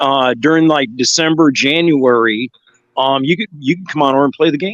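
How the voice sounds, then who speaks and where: At a moderate pace, the delivery comes in a normal speaking voice with ordinary pitch variation. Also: man, fairly high pitch for a man. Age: 60s. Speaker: cannabis content creator. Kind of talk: casual chat.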